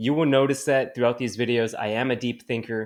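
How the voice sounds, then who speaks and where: In a plain, everyday voice, a man with a Canadian accent speaks at a medium pitch with fairly even intonation. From Canada. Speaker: cannabis community manager. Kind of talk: video presentation.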